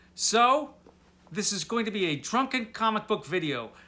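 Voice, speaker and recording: A raised, projected voice with a bright, sharp tone comes through on a very clean recording with a silent background. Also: man. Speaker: booktuber. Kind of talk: casual video monologue.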